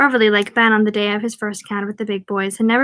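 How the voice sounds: Reading delivered in a natural reading voice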